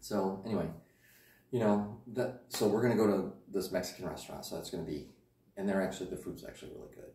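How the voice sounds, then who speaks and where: Talking at a very fast pace, a man with a fairly low, somewhat breathy voice keeps a fairly even intonation amid audible room echo. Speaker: vlogger. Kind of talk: casual vlog chat. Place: home room. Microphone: camera far.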